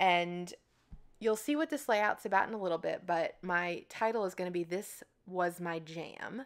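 On a very clean recording with a silent background, a woman has a plain, everyday voice with medium pitch and ordinary pitch variation. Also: moderate pace. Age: 30s. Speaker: scrapbooking video creator. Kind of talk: tutorial voiceover narration. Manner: casual, chatty.

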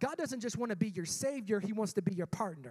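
The background stays quiet while a man talks. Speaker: pastor. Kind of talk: sermon. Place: church. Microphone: handheld.

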